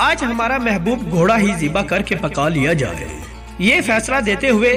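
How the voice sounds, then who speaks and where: Music plays in the background. A man speaks at a high pitch with lively intonation. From Pakistan. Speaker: voice over artist. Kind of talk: Islamic story narration.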